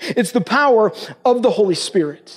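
A man speaks at an extremely high pitch. Noticeable background noise is present. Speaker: pastor. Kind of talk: sermon. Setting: stage with audience. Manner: fast.

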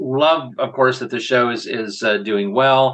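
An ordinary speaking voice at a moderate pace. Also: man. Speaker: podcast host. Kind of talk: casual podcast discussion.

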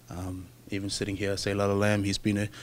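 With an Australian accent, a man talks at a very fast pace in a fairly low pitch with monotone, flat intonation. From Brisbane, Australia. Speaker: rugby player. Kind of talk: interview. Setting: in Japan during the Rugby World Cup. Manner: halting, many fillers.

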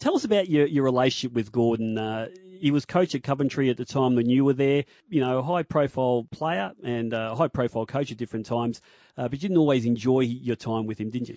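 A man with an Australian accent speaks at a very fast pace with ordinary pitch variation. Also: medium pitch for a man. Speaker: sports radio host. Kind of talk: radio interview. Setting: studio.

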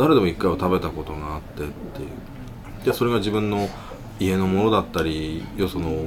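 Audible room echo plus noticeable background noise. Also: man, very deep, low pitch for a man, ordinary pitch variation, moderate pace. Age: middle-aged. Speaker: podcast host. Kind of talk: casual chat.

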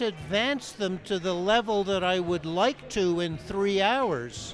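Very slow, lively speech over noticeable background noise. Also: man. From Canada. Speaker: ski instructor. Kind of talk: casual interview. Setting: at a ski resort event.

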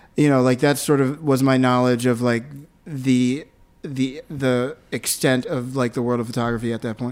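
A man talks with an American accent at a medium pitch. His pace is moderate and his intonation monotone and flat. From US, Philadelphia. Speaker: photographer. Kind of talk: casual interview.

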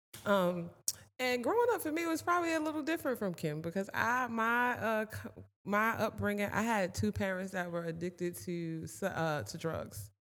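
Her voice moves through very wide pitch swings around a medium pitch as the woman keeps a moderate pace. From US Northeast, Passaic, New Jersey. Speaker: mental health services provider and entrepreneur. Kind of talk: casual interview chat.

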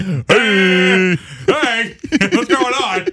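With light background noise behind him, a man uses a high-pitched, put-on character voice. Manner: goofy, puzzled, cross-eyed dog.

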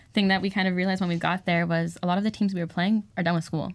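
The recording of this woman is very clean, with a silent background. She keeps a fairly even intonation. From Southern California (Santa Clarita). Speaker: college softball club president. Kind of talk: casual interview chat.

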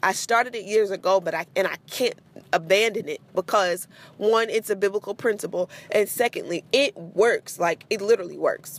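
A woman with an animated tone speaks at a moderate pace and medium pitch with ordinary pitch variation, in a dry, close sound with no echo. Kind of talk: casual devotional monologue. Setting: in a car, hands-free.

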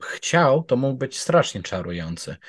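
This man talks very slowly over a quiet background. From Poland. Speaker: true crime researcher. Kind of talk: storytelling conversation. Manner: fluent.

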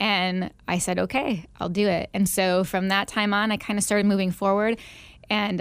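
A woman with an American accent speaks in an ordinary speaking voice at medium pitch and moderate pace, with fairly even intonation. The recording is very clean, with a silent background. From Northwest Indiana, near Chicago. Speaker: pastor and former teacher. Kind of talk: radio interview, personal testimony.

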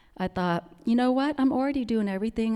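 The recording is very clean, with a silent background. A woman with a Vietnamese accent speaks in a dark, mellow tone. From Vietnam, Central Highlands. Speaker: immigrant storyteller, restaurant owner. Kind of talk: personal storytelling talk. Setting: stage with audience. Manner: halting, many fillers.

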